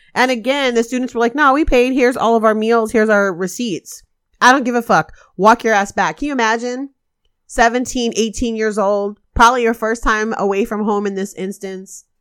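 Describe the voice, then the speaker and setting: The speech moves at a fairly quick pace in a plain, everyday voice with ordinary pitch variation. The recording is very clean, with a silent background. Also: woman, fairly high pitch for a woman. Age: 40s. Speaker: podcast host, organizer. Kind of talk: casual chat.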